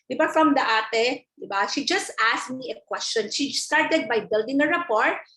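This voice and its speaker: Her pitch swinging very widely, a woman speaks. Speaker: insurance advisor and seminar speaker. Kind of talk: training talk. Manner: fast.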